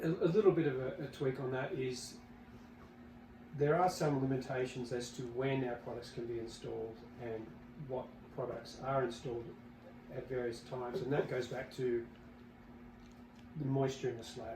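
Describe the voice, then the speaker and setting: With an Australian accent, a man speaks at a moderate pace and medium pitch, intonation fairly even and pauses long and frequent. Audible room echo and noticeable background noise accompany him. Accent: Australian, noticed by Americans. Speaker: company executive. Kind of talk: podcast interview. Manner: halting, many fillers and repeats.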